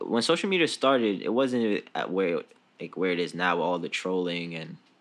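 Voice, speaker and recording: This man has a New York accent and a fairly low pitch. He talks at a moderate pace. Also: very clean recording, silent background. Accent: New York City. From New York City, the Bronx. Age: 20s. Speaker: podcast host, student. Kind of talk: casual chat.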